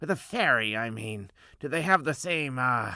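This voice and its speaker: Putting on a character voice, a man speaks at a moderate pace and medium pitch with lively intonation, on a very clean recording with a silent background. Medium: read story. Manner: blunt.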